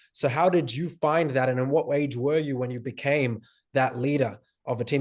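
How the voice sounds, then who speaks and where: A man of medium pitch with an unremarkable speaking voice, against a quiet background. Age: 20s. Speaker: podcast host. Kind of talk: interview.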